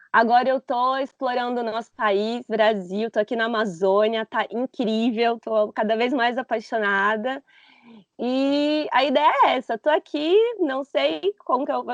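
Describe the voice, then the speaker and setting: A woman talks at a high pitch with ordinary pitch variation and a fairly slow pace. The sound is dry and close with no echo. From Brazil, interior of São Paulo state. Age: 30s. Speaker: backpacker, former marketing professional. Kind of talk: podcast interview.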